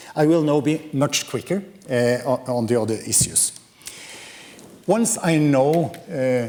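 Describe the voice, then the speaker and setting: A man's fairly high voice in a Norwegian accent, with ordinary pitch variation. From Norway. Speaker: professor. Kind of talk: lecture. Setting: lecture hall with audience. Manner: hesitant, many fillers.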